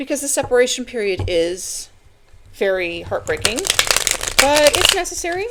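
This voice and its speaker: At a moderate pace, a woman talks in a high pitch with very wide pitch swings. Noticeable background noise can be heard. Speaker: tarot reader. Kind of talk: tarot reading. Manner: casual, conversational.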